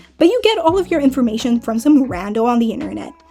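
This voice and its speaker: Music sounds behind the voice. The speaker is a woman. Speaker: YouTube commentary creator. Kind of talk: casual commentary to camera.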